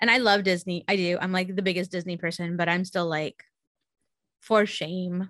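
A woman with a Californian accent speaks in a monotone, flat intonation. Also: medium pitch for a woman, moderate pace. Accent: Californian American English. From California, San Jose. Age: 30s. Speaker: podcast regular guest. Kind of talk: casual chat.

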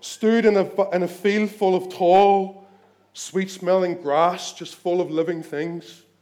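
Fairly slow pace and fairly even intonation in a Northern Irish accent. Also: man. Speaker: preacher. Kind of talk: sermon; dramatic narration in sermon. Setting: church.

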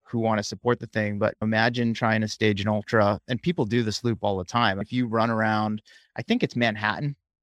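In an American accent, a man with a normal speaking voice and a fairly low pitch talks at a fairly quick pace with fairly even intonation, on a very clean recording with a silent background and a dry, close sound with no echo. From central Massachusetts, near Worcester. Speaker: running coach and podcaster. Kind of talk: casual interview.

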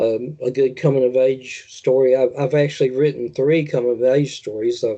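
Talking at a moderate pace, a man with a Southern US accent holds a medium pitch and fairly even intonation. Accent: Southern American. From US South, rural tobacco-farming area. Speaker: horror author. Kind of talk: interview. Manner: halting, many fillers.

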